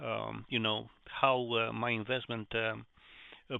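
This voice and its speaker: This man has a medium pitch and a non-native accent. He talks at a fairly slow pace. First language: not English. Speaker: investing channel host. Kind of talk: reading aloud; casual explanation. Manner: halting, many fillers.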